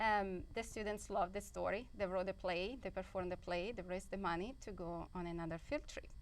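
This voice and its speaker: A woman with a medium pitch and vocal fry speaks fairly quickly, with hardly any pauses. Her intonation stays fairly even. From Italy. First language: Italian. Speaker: high school teacher. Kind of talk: TV interview. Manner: halting.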